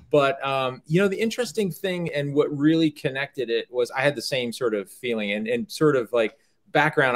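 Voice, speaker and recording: A man with an unremarkable speaking voice talks with an American accent. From US South. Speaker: startup cofounder and business executive. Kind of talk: casual conversation.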